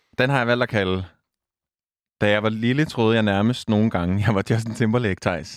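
A man speaks at a moderate pace with long, frequent pauses and very even loudness. His pitch varies in an ordinary way, and the recording is very clean with a silent background. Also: medium pitch for a man. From Denmark, south Zealand near Næstved. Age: 20s. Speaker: radio host. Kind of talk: casual chat.

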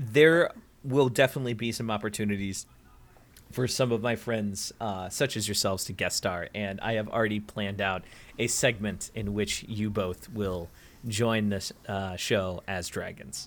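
This man has a normal speaking voice, fairly low in pitch, with ordinary pitch variation at a moderate pace. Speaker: guest. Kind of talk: casual chat.

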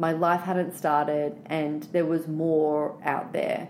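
Amid audible room echo, a woman speaks at a very slow pace in an Australian accent. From Australia, Sydney. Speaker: writer and storyteller. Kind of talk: interview.

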